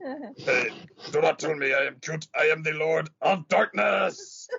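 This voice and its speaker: In a put-on character voice, a man talks at a fairly slow pace with fairly high pitch. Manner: menacing.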